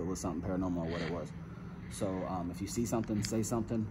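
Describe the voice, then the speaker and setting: A man at a very fast pace, with noticeable background noise. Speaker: ghost-hunting vlogger. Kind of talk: casual vlog chat. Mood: cautious, slightly tense. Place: hall. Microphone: phone near.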